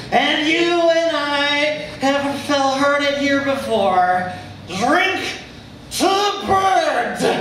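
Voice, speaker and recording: A put-on character voice comes out husky and shaky at a very slow pace. There is slight echo and clear background noise. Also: man. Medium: stage play. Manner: convivial, nostalgic.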